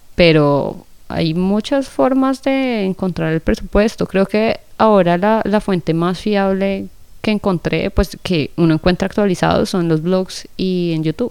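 Speaking with a Colombian accent, a woman keeps to a fairly slow pace. Her pitch is medium, with ordinary pitch variation. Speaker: podcast host. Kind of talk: casual chat.

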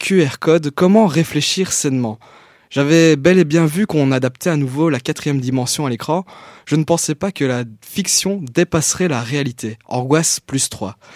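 A man with a plain, everyday voice talks at a fairly high pitch with ordinary pitch variation. His pace is moderate, and the sound is dry and close with no echo. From Belgium, Liège. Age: 20s. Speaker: youth columnist, journalism graduate. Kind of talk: reading own text aloud; announcements.

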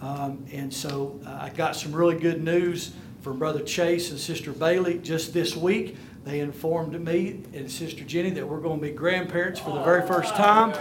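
High-pitched, moderately paced speech from a man, amid noticeable background noise and audible room echo. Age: 50s. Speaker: minister and business speaker. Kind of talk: conference talk to church audience. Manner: animated.

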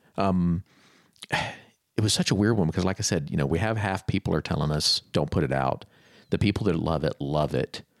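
With an American accent, this voice carries vocal fry, holds a very even loudness, and moves at a moderate pace. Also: man, very deep, low pitch for a man, ordinary pitch variation, dry, close sound with no echo. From Florida. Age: 30s. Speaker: creative professional, former bookstore manager. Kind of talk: casual interview chat.

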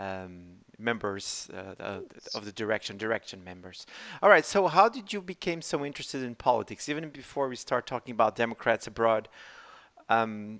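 With a Portuguese accent, a man talks at a moderate pace in a bright, sharp tone on a very clean recording with a silent background. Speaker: podcast host for a political party. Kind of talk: casual interview.

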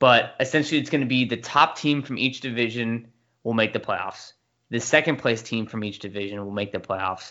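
A man with an American accent in an ordinary speaking voice, medium in pitch, with ordinary pitch variation and a fairly quick pace. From US West Coast, San Diego. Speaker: sports podcast co-host. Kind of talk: casual chat.

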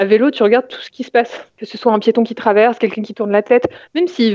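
Speaking at a fairly quick pace, a woman uses an ordinary speaking voice with fairly high pitch and ordinary pitch variation. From Paris region, France. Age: 30s. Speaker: IT consultant and adult cycling learner. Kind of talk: interview.

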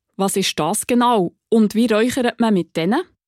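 A woman with an ordinary speaking voice at medium pitch, ordinary pitch variation, and a moderate pace, in dry, close sound with no echo on a very clean recording with a silent background. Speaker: podcast host. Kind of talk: interview; scripted narration.

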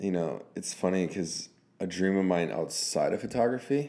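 A man speaks with a very deep, low pitch and ordinary pitch variation. His tone is dark and mellow. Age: 20s. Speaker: photographer and videographer. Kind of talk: casual interview chat.

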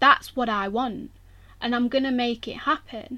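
A woman with an East Midlands accent, high pitch, a bright, sharp tone and ordinary pitch variation, on a very clean recording with a silent background. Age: 20s. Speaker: sports massage therapist and podcast host. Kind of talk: solo podcast monologue. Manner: casual, frequent laughter.

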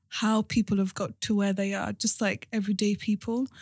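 A woman speaks at a moderate pace in a fairly high, somewhat breathy voice, with a dry, close sound, no echo, and a very clean recording over a silent background. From London and Cardiff, Wales. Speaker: podcast host. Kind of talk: casual interview.

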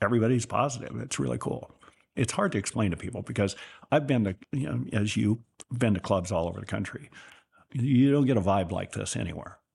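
A man talks at a fairly quick pace with a fairly low pitch, lively intonation and vocal fry. The background is quiet. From Northern California, rural Sutter County. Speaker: businessman. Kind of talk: interview.

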